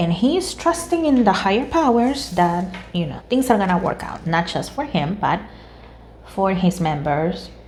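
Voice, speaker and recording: A woman with a non-native accent speaks at a fairly slow pace in a medium pitch, her voice making very wide pitch swings. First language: not English. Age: 30s. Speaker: tarot reader. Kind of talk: tarot reading monologue. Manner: casual, conversational.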